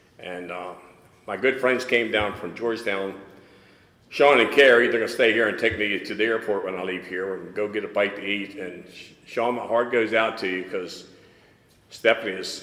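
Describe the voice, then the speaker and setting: A medium-pitched man at a moderate pace, fairly even in intonation, with big swings in loudness and audible room echo. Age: 80s+. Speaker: recovery speaker. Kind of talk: testimony. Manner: halting.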